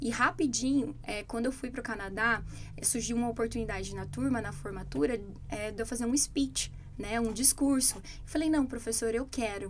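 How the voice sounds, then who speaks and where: At a moderate pace, a woman with a fairly high voice and vocal fry talks with ordinary pitch variation. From Brazil. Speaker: English teacher. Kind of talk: casual chat.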